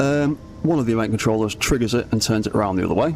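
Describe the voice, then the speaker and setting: Music plays in the background as a man speaks at a fairly quick pace. His pitch is fairly low, with ordinary variation. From northern England. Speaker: gaming streamer. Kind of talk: live stream tutorial. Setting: live stream. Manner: casual, hesitant with fillers.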